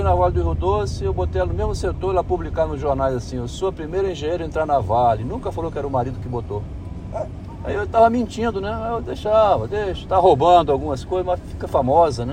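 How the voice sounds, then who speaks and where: A man speaks at a very fast pace with very wide pitch swings and a medium pitch, with audible room echo and noticeable background noise. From Espírito Santo, Brazil. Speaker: engineer. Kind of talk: casual chat. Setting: in a car.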